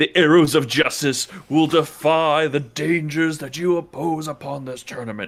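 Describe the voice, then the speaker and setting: A put-on character voice at a moderate pace with fairly even intonation. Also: man, fairly high pitch for a man, hardly any pauses. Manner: dramatic, heroic.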